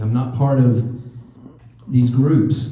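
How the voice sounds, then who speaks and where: The delivery comes at a fairly slow pace. Room echo is audible. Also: man. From Tennessee (Knoxville, moved there at 12). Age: 60s. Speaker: political candidate, restaurant owner. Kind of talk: campaign speech. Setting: speaking to a room at a party meeting. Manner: animated.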